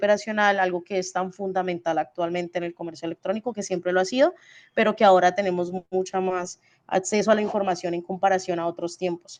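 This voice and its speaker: In a dry, close recording with no echo and a quiet background, a woman speaks at a medium pitch with monotone, flat intonation. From Colombia, Cali. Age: 20s. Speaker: e-commerce logistics expert. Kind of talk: webinar talk. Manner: fast; halting, many fillers.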